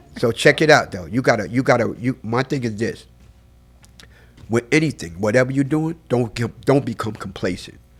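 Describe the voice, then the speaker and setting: Music plays in the background as a man talks in an animated tone at a fairly quick pace with ordinary pitch variation. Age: 60s. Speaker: photographer. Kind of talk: casual chat.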